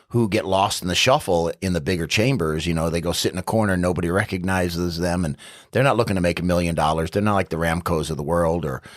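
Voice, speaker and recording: A man with an American accent and a very deep, low pitch talks very fast with hardly any pauses and ordinary pitch variation, on a very clean recording with a silent background. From New York City. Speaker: city council candidate. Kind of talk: casual interview. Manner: loud.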